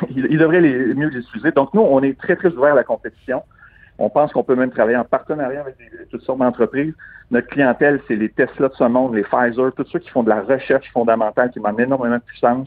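The speaker has a Quebec accent and talks at a very fast pace. Pitch variation is ordinary, with big swings in loudness. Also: man, medium pitch for a man. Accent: Québécois French. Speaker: tech entrepreneur. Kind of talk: interview.

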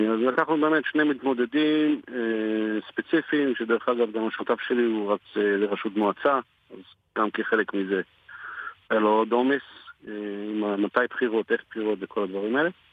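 Speaking at a moderate pace with long, frequent pauses, a man keeps a very even loudness at a medium pitch with ordinary pitch variation. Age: 40s. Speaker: print shop owner and army reservist. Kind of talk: radio interview.

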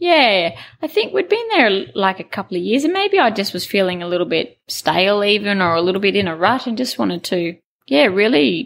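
Someone female is talking with an Australian accent. She moves at a fairly quick pace. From Queensland, Australia. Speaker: cattle station owner. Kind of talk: interview.

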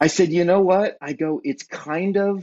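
A man talks with an American accent. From Southern California. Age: middle-aged. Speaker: pastor and podcast co-host, former musician. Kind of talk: casual chat.

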